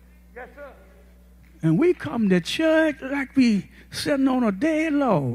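Amid noticeable background noise, a man speaks at an extremely high pitch with very wide pitch swings. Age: 80s+. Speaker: guest preacher. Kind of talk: sermon. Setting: church. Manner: folksy, humorous, frank.

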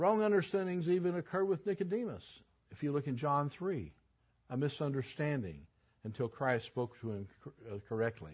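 A somewhat breathy voice moves at a moderate pace through very wide pitch swings. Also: man, fairly high pitch for a man. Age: 70s. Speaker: Bible teacher. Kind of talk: Bible class teaching. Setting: church service.

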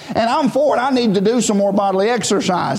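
A man speaks at an extremely high pitch. Noticeable background noise and audible room echo come through. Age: 30s. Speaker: preacher. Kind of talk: sermon. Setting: church. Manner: halting.

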